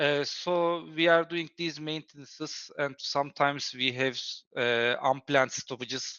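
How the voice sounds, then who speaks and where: At a moderate pace, the speaker talks with a non-native accent. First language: not English. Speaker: ESL student, factory maintenance worker. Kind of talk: interview answer. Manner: hesitant, many fillers.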